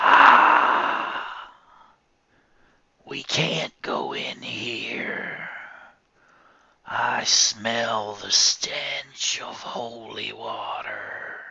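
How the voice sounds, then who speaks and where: A raspy, put-on character voice at a very slow pace, with long, frequent pauses. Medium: read story. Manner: commanding.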